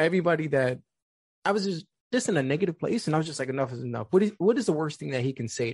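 With lively intonation, a man talks in an American accent. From New York City (the Bronx). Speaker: suicide prevention speaker. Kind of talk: personal testimony in interview. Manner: calm.

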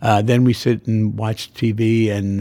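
A man's fairly low-pitched voice with a dark, mellow tone and monotone, flat intonation. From US, Queens, New York. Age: 80s+. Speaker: dermatologist. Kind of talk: interview.

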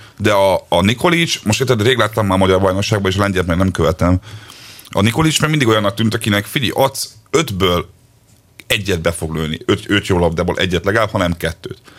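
Using a normal speaking voice, a man talks at a fairly quick pace, his pitch fairly low with ordinary pitch variation. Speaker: football podcast co-host. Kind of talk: casual chat.

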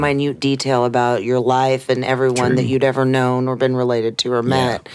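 A woman speaks with a very deep, low pitch over noticeable background noise. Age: 40s. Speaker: podcast co-host. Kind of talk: casual chat.

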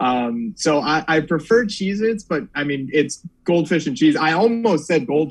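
A man with an American accent uses a normal speaking voice, talking at a fairly slow pace with hardly any pauses and lively intonation. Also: fairly high pitch for a man. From Northern Virginia. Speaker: sports reporter. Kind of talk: casual chat.

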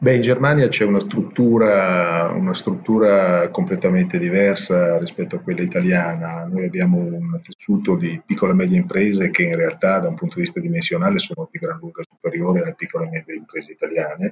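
With noticeable background noise behind it, the voice moves at a fairly quick pace through very wide pitch swings. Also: man, medium pitch for a man, hardly any pauses. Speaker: insurance company executive. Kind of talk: interview.

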